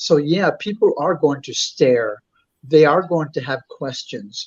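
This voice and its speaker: This man speaks with an American accent and a fairly high pitch. His pace is fairly slow, with ordinary pitch variation. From US South, South Texas small town. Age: 60s. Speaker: body-modified drag performer. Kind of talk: interview. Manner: halting, many repeated words.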